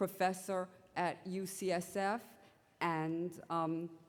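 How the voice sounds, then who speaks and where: The delivery is in a New York accent at a very slow pace. Intonation stays monotone and flat. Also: woman. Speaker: symposium chair, physician scientist. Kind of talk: conference introduction. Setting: conference symposium with audience.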